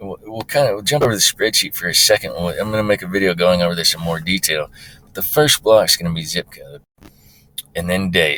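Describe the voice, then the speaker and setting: Moving at a fairly quick pace, a man's speech rises and falls sharply in loudness. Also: dry, close sound with no echo. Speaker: website creator, hunter. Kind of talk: screen-recorded tutorial. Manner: fast; casual with many fillers.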